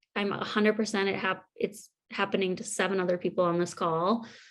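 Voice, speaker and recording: A woman speaks at a moderate pace and medium pitch in an ordinary speaking voice. Her intonation is fairly even, over a quiet background. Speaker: workshop presenter on committee meetings. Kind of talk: virtual conference workshop. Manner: casual, many fillers.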